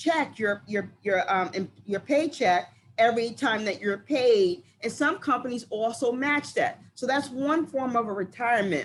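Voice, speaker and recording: A woman with an American accent speaks in a normal speaking voice at a moderate pace. Her pitch is fairly high and her intonation lively. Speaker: recruiter presenting careers. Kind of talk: online presentation.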